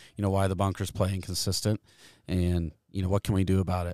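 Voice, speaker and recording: Fairly quick, monotone delivery with flat intonation in a US Midwestern accent, dry and close with no echo, on a very clean recording over a silent background. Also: man. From Kansas, US Midwest. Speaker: golf course superintendent. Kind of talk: interview. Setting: outdoors by a golf green.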